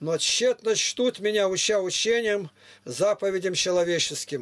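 Lively intonation marks the delivery, which proceeds at a fairly slow pace. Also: man. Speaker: preacher reading scripture to strangers. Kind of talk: scripture reading. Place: home room.

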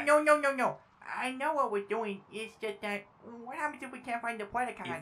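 This female-sounding voice is a put-on character voice pitched fairly high. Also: moderate pace. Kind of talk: comic abridged parody dub. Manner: naive, childish, repetitive.

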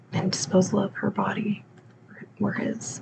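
Soft-spoken, a woman talks over noticeable background noise. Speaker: true crime storyteller. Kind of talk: soft-spoken true crime narration. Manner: soft-spoken, quiet close-mic narration. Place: home room. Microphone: studio mic.

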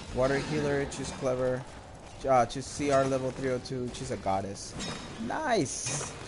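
Speaking at a fairly slow pace in an animated tone, a man is heard over noticeable background noise. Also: medium pitch for a man. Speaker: video game streamer. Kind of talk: live gameplay commentary. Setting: live stream with microphone.

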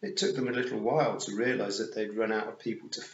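What you hear is a natural reading voice.

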